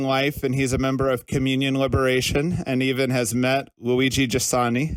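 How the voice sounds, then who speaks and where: A man with an American accent talks at a moderate pace in an unremarkable speaking voice, his pitch fairly high. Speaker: podcast host. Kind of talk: interview. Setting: podcast.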